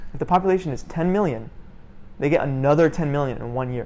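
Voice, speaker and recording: With an American accent, a man talks in a fairly high pitch with an animated tone and ordinary pitch variation. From Florida with years in the Middle East. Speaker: YouTuber and student. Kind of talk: casual interview chat. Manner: animated, filler-heavy casual speech.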